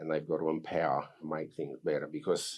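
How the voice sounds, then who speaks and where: With an Australian accent, a man talks at a fairly quick pace. His tone is dark and mellow. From Australia, Queensland (Bundaberg). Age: 60s. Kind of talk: interview storytelling. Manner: animated.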